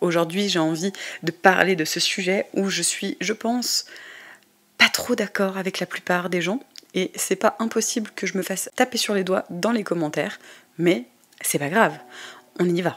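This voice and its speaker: At a fairly slow pace, a woman speaks at medium pitch with ordinary pitch variation. She takes long, frequent pauses. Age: 20s. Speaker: podcast host, tarot reader. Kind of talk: casual podcast monologue. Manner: hesitant, many filler sounds.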